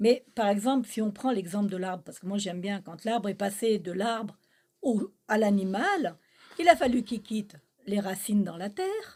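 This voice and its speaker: Somewhat breathy, a woman speaks at medium pitch and a moderate pace. Her pitch varies an ordinary amount, and her loudness swings widely. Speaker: spiritual channel co-host. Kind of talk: spiritual teaching conversation.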